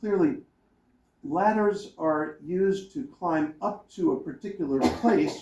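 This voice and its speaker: A man with a high pitch mumbles while his pitch swings very widely. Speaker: professor reviewing a book on a panel. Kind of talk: academic panel talk. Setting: conference panel with audience. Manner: mumbling; halting, many repeated words.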